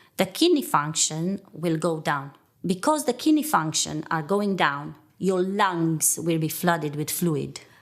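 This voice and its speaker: In a Romanian accent, a woman talks at a fairly slow pace. Her pitch is fairly low and her intonation lively. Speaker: nurse. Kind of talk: testimony.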